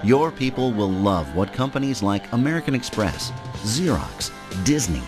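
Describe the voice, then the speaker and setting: With music in the background, a man at medium pitch makes very wide pitch swings. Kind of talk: promotional voiceover narration.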